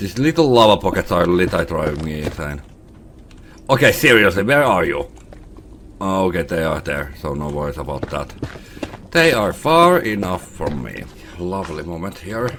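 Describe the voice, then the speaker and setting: A man's very deep, low voice at a moderate pace, lively in intonation, with long, frequent pauses, audible room echo and noticeable background noise. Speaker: gaming youtuber. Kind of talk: let's play commentary. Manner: quiet.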